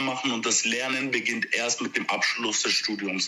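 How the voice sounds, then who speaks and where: Through noticeable background noise, a man with a medium pitch talks at a moderate pace. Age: 20s. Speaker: social worker. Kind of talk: interview. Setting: phone call.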